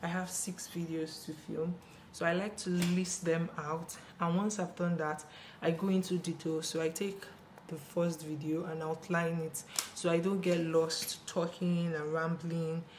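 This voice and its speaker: A quiet woman's voice, fairly low and fairly slow, with monotone, flat intonation. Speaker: beauty YouTuber. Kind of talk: casual tutorial vlog. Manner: speaking quietly.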